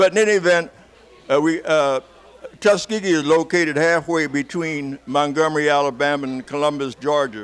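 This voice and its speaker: A man with an American accent speaks at a fairly high pitch with ordinary pitch variation over noticeable background noise. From Chicago. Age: 80s+. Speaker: war veteran. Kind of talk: interview.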